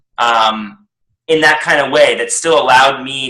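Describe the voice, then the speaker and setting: With a bright, sharp tone and medium pitch, a man speaks at a fairly slow pace amid audible room echo. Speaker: public speaking coaching client. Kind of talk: interview. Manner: loud; clear pronunciation.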